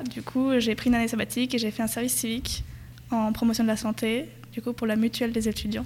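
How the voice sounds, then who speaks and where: A woman talks very fast at a fairly high pitch, somewhat breathy. Her intonation stays flat and monotone. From France, Perche region. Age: 20s. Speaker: public health master's student. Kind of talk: casual interview.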